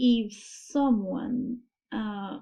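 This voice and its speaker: A woman with a non-native accent speaks in a fairly high pitch with ordinary pitch variation. Her voice is somewhat breathy. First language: not English. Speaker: anime reaction youtuber. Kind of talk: reaction video commentary. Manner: halting, self-correcting.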